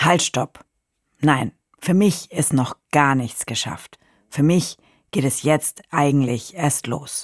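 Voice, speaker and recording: A woman speaks at a very slow pace, with long, frequent pauses. Her pitch varies in an ordinary way, and the sound is dry and close with no echo. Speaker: podcast co-host, recovering accident survivor. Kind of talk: audio diary recordings.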